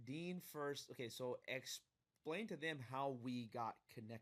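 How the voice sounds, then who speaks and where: Animated in tone, a man speaks at medium pitch and a fairly slow pace with ordinary pitch variation. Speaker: podcast host. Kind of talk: casual interview. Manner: loud.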